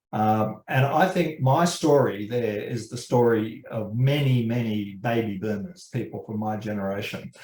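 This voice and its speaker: Someone with an Australian accent talks at a fairly slow pace with hardly any pauses. Audible room echo is present. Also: man, medium pitch for a man, ordinary pitch variation. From Australia, suburban Sydney. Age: 70s. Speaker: criminology professor. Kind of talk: interview. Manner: halting, many fillers.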